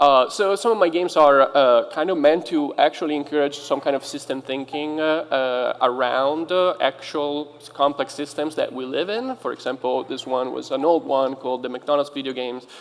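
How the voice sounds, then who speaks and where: A man talks at a moderate pace with a fairly high pitch, ordinary pitch variation and hardly any pauses, over noticeable background noise. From Italy. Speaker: game designer and professor. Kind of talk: conference panel talk. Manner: halting, many fillers.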